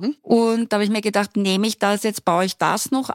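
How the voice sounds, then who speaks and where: Recorded very cleanly against a silent background, with a dry, close sound and no echo, a woman speaks at a moderate pace and medium pitch with fairly even intonation in an unremarkable speaking voice. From Austria, Styria. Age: 60s. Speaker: university lecturer. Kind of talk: podcast interview. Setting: studio.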